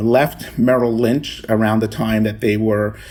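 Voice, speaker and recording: This man speaks with a Spanish accent, a medium pitch and a dark, mellow tone. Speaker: pension fund chief investment officer. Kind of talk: interview. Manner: halting, many fillers.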